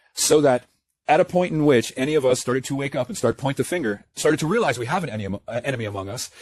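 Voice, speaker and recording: The speech is very fast, with lively intonation and an animated tone. The sound is dry and close, with no echo. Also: man, fairly high pitch for a man. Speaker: online commentator on spiritual awakening. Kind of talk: monologue rant.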